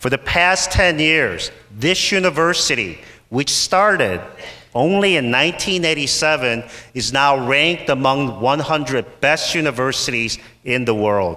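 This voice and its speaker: Speaking very slowly with lively intonation, a man keeps a very even loudness in his fairly high voice. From Ohio, US (moved from Seoul at 9). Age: 50s. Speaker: university president. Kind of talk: ceremony speech. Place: hall. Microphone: podium.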